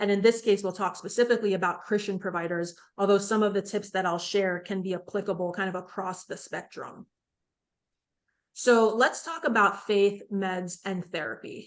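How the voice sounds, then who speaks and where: At a moderate pace, a woman speaks in a normal speaking voice, her medium pitch held in fairly even intonation. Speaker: psychiatrist leading a mental health seminar. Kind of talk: online seminar presentation. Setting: virtual seminar.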